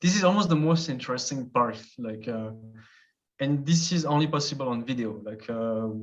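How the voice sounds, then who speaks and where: With a French accent, a man talks at a moderate pace with lively intonation and medium pitch, and audible room echo surrounds him. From French-speaking Switzerland. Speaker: travel youtuber. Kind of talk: casual chat.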